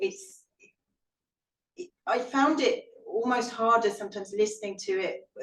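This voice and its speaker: A woman with a British accent, lively intonation and a moderate pace. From Britain. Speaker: historian and author. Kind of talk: Q&A answer at a book talk. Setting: live event with audience and online stream. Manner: halting, with repetitions and fillers.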